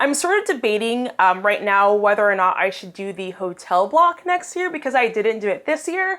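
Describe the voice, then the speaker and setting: A woman speaks loudly at a moderate pace, her fairly high pitch swinging very widely. Her tone is animated, with hardly any pauses. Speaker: financial blogger, vlogger. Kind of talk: casual vlog review.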